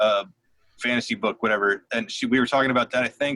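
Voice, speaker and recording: Speaking at a very fast pace, a man has a bright, sharp tone in a dry, close recording with no echo. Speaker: podcast host. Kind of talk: casual chat.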